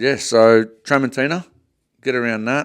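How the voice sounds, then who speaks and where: A man with a strong Australian accent, medium pitch, lively intonation, and a fairly slow pace, in a very clean recording with a silent background. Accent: broad Australian. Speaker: podcast co-host, butcher. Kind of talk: casual chat. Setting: studio.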